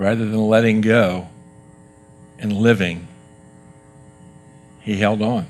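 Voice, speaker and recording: A man with a fairly low pitch and ordinary pitch variation, music in the background. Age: 60s. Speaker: guest speaker at youth service. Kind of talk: sermon. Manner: animated.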